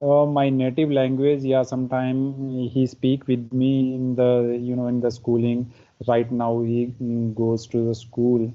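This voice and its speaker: A man talks with a Pakistani accent in a medium pitch. His intonation is monotone and flat, and his pace is fairly slow. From India, Himachal Pradesh. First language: Pahari. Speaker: English learner. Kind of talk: casual conversation practice. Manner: halting.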